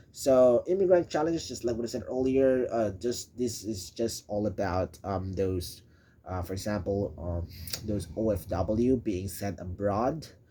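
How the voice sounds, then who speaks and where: A man's somewhat breathy, dark, mellow voice, fairly low in pitch, with a Filipino accent, lively intonation and a fairly slow pace. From Philippines. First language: Filipino (Tagalog or other Philippine language). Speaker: presenter explaining a school topic. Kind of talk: unscripted explainer presentation. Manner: halting, many fillers and restarts.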